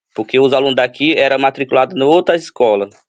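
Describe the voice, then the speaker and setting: A man's medium-pitched voice holds fairly even intonation at a moderate pace. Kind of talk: interview testimony. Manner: halting, many fillers.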